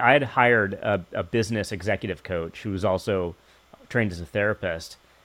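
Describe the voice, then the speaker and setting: An ordinary speaking voice, fairly quick, its pitch varying in an ordinary way. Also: man. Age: 50s. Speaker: podcast host. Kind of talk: interview.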